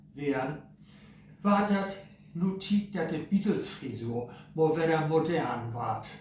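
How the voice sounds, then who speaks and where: A man with a Low German accent speaks at a very slow pace. Background noise is noticeable. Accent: Low German (Plattdeutsch). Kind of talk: humorous mock news bulletin. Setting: home kitchen. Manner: relaxed, humorous.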